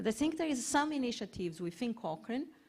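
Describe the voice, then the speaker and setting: A woman speaks with a Portuguese accent on a very clean recording with a silent background. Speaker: health research organisation head. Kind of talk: panel discussion.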